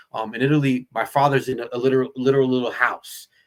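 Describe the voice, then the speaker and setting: A man speaks with a New Jersey accent at a medium pitch. His tone comes across bright and sharp. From New Jersey, Perth Amboy. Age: 40s. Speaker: actor. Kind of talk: casual chat. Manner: animated.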